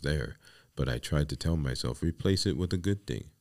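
With a New York accent and vocal fry, a man speaks with ordinary pitch variation in a very clean recording with a silent background. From New York City, the Bronx. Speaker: podcast host and life coach. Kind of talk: solo podcast monologue.

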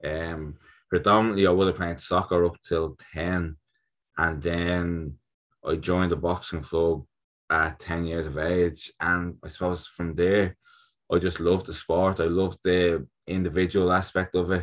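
On a very clean recording with a silent background, a man with a Dublin accent speaks in a monotone, flat intonation at a very deep, low pitch. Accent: Dublin Irish. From Ireland, Dublin (North Strand). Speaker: Olympic boxer. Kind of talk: casual interview chat.

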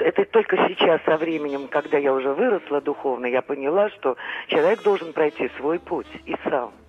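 A woman speaks with a very deep, low pitch and lively intonation. Her pace is moderate, over noticeable background noise. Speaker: caller. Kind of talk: phone-in call. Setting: phone call. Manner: halting, stammering.

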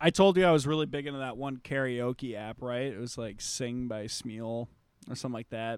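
Recorded very cleanly against a silent background, a man speaks at a fairly quick pace and medium pitch, with ordinary pitch variation and big swings in loudness. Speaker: podcast host. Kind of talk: casual comedic banter. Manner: animated.

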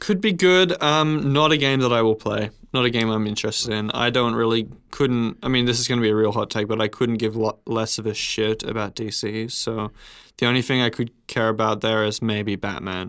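With an Australian accent, a man speaks fairly quickly at a medium pitch with ordinary pitch variation on a very clean recording with a silent background. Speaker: podcast host. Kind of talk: casual chat.

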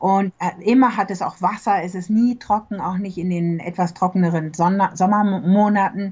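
This woman's voice is somewhat breathy, with big swings in loudness. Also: medium pitch for a woman, fairly even intonation, moderate pace. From Germany. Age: middle-aged. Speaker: real estate agent. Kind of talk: casual interview.

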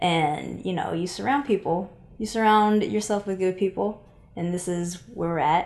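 An American accent marks a woman's normal speaking voice at a medium pitch, with ordinary pitch variation and a moderate pace. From Seattle, Washington. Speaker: travel podcast co-host, video producer. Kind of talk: casual chat.

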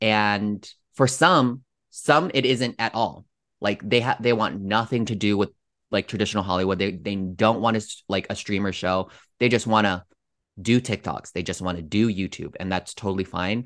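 Quiet background, moderate pace. A man with a fairly low pitch talks in a plain, everyday voice with ordinary pitch variation. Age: 30s. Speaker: social media comedian. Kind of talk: casual chat.

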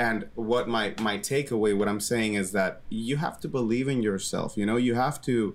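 This man has a normal speaking voice, medium in pitch with ordinary variation and a moderate pace. The recording is very clean, with a silent background. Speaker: podcast host. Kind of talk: casual chat, interview.

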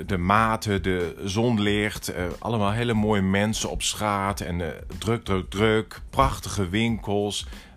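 A man speaks at a very slow pace with hardly any pauses. His pitch is fairly low and his intonation fairly even. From Netherlands, Groningen. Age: 50s. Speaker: entrepreneur, interior shop owner. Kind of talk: interview.

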